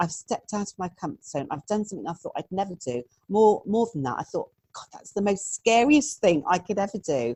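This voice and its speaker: A woman of medium pitch talks at a fairly quick pace with vocal fry. Her pitch swings very widely and her loudness shifts a lot. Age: 60s. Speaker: therapist. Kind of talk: interview.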